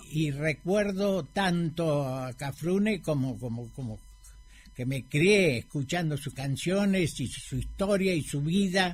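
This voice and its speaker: Over music in the background, a man speaks at a very slow pace with a fairly high pitch. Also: ordinary pitch variation. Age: 80s+. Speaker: former mayor. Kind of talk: radio interview. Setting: radio studio.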